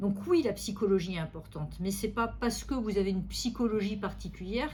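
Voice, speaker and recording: At a fairly quick pace, a woman with a medium-pitched voice and vocal fry speaks with ordinary pitch variation amid audible room echo. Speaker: neurologist. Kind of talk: medical consultation interview.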